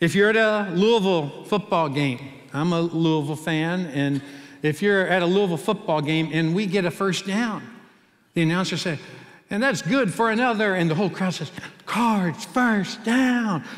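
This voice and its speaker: The speaker has an American accent and ordinary pitch variation. The pace is moderate and the background quiet. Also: man, high pitch for a man. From US Midwest, Cincinnati; Ohio. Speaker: pastor. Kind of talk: sermon. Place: church. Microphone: headset.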